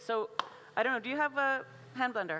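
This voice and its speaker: With an American accent, a woman talks at a very fast pace in a bright, sharp tone and ordinary pitch variation. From USA. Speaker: chef and cookbook author. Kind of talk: cooking demonstration. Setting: stage with audience at food festival. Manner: casual, filler-heavy.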